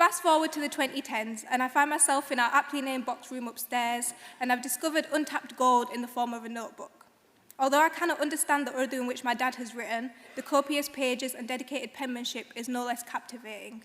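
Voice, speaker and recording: Very fast and high-pitched, a woman speaks with a West Yorkshire accent and fairly even intonation over noticeable background noise. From northern England, Bradford. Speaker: graduate student speaker. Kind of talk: graduation speech. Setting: stage with audience in concert hall.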